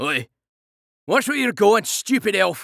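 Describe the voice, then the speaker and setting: Using a put-on character voice, a man talks at a fairly slow pace in a high pitch. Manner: sneering, rude.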